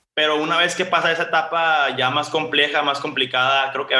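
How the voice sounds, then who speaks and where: A man's voice with fairly even intonation. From Mexico, Sonora (Ciudad Obregón). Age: 20s. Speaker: law student and social entrepreneur. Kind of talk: interview. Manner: casual, filler-heavy.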